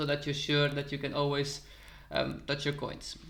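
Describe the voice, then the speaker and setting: This is a man's voice. He has a Dutch accent. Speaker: crypto YouTuber. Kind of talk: tutorial.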